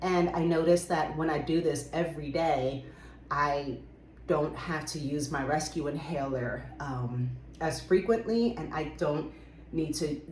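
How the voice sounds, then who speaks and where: A woman speaks with a very deep, low pitch and ordinary pitch variation. Audible room echo surrounds her voice. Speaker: book and herbal video creator. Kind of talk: casual show-and-tell vlog. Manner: casual, with frequent fillers.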